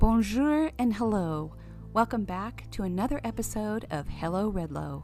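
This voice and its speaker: A woman speaking at a moderate pace over background music. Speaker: podcast host. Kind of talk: podcast intro and interview questions.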